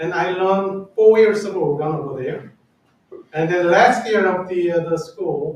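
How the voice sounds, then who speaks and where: A man with a Korean accent speaks at a high pitch. His intonation is fairly even, and the room echo is audible. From South Korea. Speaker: church organist. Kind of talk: personal testimony talk. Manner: halting.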